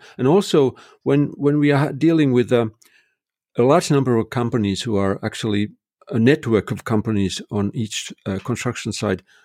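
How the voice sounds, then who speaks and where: A man speaks with a Finnish accent. His intonation is lively. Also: dry, close sound with no echo, very clean recording, silent background. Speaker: construction technology consultant. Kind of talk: interview conversation. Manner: halting, many fillers.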